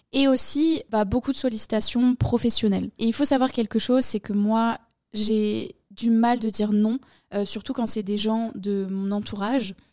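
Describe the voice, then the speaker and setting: A woman's dark, mellow tone at a fairly high pitch, fairly even in intonation and fairly slow, on a very clean recording with a silent background. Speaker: podcast host, online entrepreneur. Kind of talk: personal monologue. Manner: casual, hesitant with fillers.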